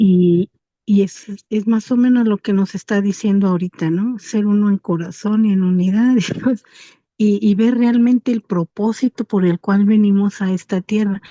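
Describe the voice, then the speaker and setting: A woman's somewhat breathy voice of dark, mellow tone with fairly even intonation, dry and close with no echo. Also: medium pitch for a woman, moderate pace, very even loudness. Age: 60s. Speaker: class participant. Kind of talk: comment in class discussion. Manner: halting.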